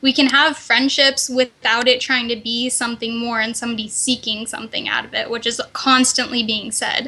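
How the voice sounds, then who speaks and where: Her pitch high and her intonation monotone and flat, a woman speaks at a moderate pace with hardly any pauses. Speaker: female gamer. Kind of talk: casual chat.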